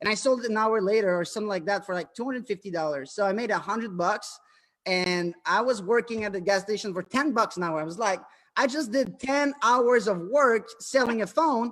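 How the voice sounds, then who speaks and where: With a French-Canadian accent, a high-pitched man talks at a fairly quick pace with ordinary pitch variation. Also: very clean recording, silent background. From Quebec, Canada. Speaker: entrepreneur. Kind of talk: interview. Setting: live stream. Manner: halting.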